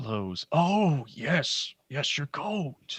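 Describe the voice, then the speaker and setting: A man with a fairly high pitch performs a put-on character voice. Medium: actual play. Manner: slow, grumbling.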